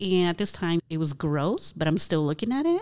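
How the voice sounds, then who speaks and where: A woman's very deep, low voice with an American accent. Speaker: podcast co-host. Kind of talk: casual chat.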